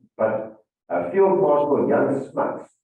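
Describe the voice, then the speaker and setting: A man's voice carries audible room echo. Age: 50s. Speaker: former presidential security chief, speaker. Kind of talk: interview on stage.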